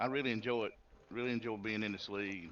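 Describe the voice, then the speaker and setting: A man's bright, sharp voice at a very fast pace, fairly low in pitch, with ordinary pitch variation. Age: 60s. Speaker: sim racing driver. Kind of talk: post-race interview. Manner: halting, many repeats. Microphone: cutting out.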